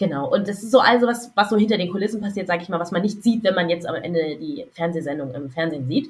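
A woman speaks at a very fast pace with hardly any pauses. Her medium-pitched voice is somewhat breathy, and her intonation is lively. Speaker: podcast co-host. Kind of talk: casual chat.

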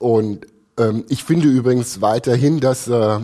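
A man speaks at a very slow pace with medium pitch and ordinary pitch variation. His tone is dark and mellow, in a very clean recording with a silent background. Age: 50s. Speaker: architect and concert subscriber. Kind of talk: podcast interview. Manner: halting, many fillers.

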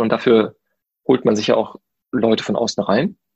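A man's medium-pitched voice with vocal fry, a fairly quick pace and ordinary pitch variation, in a dry, close sound with no echo. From Germany, Paderborn (Westphalia). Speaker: theme park designer. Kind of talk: interview. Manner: hesitant, many filler sounds.

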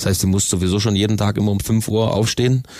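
An ordinary speaking voice at a fairly quick pace with fairly even intonation. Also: man. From Bavaria, Augsburg area (Königsbrunn). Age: 30s. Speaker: ice hockey player, team captain. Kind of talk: interview.

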